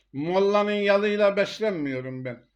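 Slowish and fairly unhurried, a man speaks with ordinary pitch variation. The background is quiet. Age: 70s. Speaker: video blogger. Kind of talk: monologue talk.

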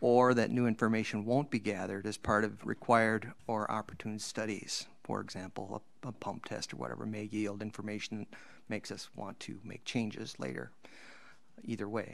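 A fairly low-pitched man's voice with vocal fry, a fairly quick pace and ordinary pitch variation. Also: big swings in loudness. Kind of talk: presentation to a council. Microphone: video call.

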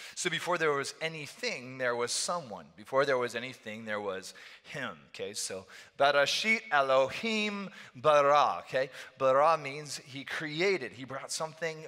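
Bright, sharp tone from a man, moderate pace and lively intonation, against a quiet background. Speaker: pastor. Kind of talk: sermon. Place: church. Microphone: headset.

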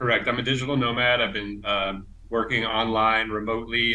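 A man with a bright, sharp tone, monotone and flat intonation, and a fairly quick pace. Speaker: illustrator; interviewee. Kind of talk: casual interview; interview answer. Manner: hesitant, many fillers. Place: home room. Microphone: earbuds.

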